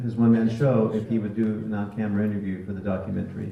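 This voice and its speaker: A man at a medium pitch and fairly quick pace, with noticeable background noise and audible room echo. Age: 60s. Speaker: film subject and husband of actor. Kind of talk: Q&A panel.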